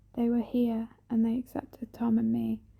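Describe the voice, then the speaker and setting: A soft-spoken woman with a dark, mellow tone and fairly high pitch talks at a moderate pace in a monotone, flat intonation. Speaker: ASMR creator. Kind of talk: ASMR soft spoken book reading.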